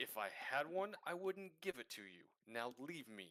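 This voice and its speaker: Here is a put-on character voice whose pitch swings very widely. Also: man, fairly high pitch for a man, moderate pace. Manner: smug, haughty, dismissive.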